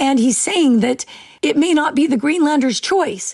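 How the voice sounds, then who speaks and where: High-pitched yet dark and mellow in tone, a woman's voice moves with lively intonation. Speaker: security correspondent. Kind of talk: news interview explanation.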